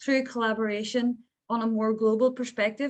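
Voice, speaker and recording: A woman speaks with a Northern Irish accent. Her pace is fairly quick. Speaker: peace activist. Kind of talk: panel discussion.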